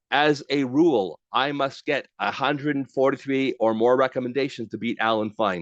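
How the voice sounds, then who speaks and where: A normal speaking voice from a man, with ordinary pitch variation, a dry, close sound with no echo and a quiet background. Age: 60s. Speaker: LinkedIn trainer. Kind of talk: webinar presentation. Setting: online webinar with chat.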